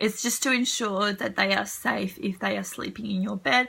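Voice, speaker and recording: A woman's medium-pitched voice with ordinary pitch variation at a moderate pace, over noticeable background noise. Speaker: mother of two. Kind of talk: casual talk to camera.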